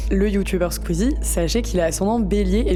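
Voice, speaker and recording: A woman talks at a fairly quick pace in a monotone, flat intonation. Music plays in the background, and room echo is audible. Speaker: astrology podcaster. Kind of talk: casual explanatory monologue. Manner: casual with fillers.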